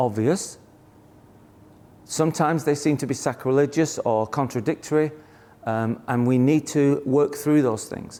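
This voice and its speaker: A man's dark, mellow voice in a British accent, fairly high in pitch, at a fairly slow pace with fairly even intonation and long, frequent pauses. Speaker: therapist and Bible teacher. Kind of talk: live teaching session.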